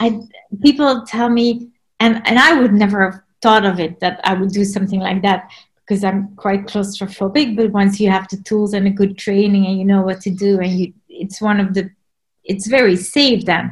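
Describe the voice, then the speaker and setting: A somewhat breathy woman of medium pitch speaks at a moderate pace with fairly even intonation. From Belgium. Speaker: underwater photographer. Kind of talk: casual interview. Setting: video call.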